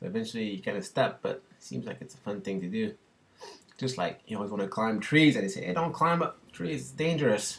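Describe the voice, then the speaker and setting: Speaking fairly quickly in a French Canadian accent, this voice has vocal fry and very wide pitch swings. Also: man. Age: 30s. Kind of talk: casual talk to camera.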